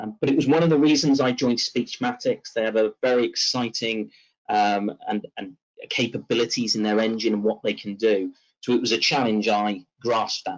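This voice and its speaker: A man speaks with a West Country accent. His pace is moderate. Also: medium pitch for a man, ordinary pitch variation. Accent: British Southwest twang. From Southwest England. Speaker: tech company presenter. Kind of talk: webinar presentation. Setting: online webinar. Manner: hesitant with fillers.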